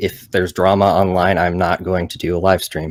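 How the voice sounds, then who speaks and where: A man speaks at a moderate pace in a very deep, low pitch. The recording is very clean, with a silent background. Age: 20s. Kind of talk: casual chat. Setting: live stream. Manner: halting.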